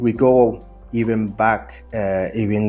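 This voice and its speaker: Music plays in the background. The speaker has a Spanish accent and ordinary pitch variation. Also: man. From Colombia. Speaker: service designer. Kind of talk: interview. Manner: hesitant, many fillers.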